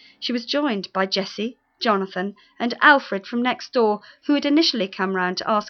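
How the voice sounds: Over a quiet background, someone reads in a natural reading voice.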